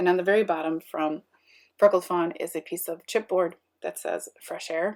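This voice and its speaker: Quiet yet marked by big swings in loudness, a woman's fairly low voice moves at a moderate pace with fairly even intonation. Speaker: scrapbooking youtuber. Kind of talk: craft process voiceover.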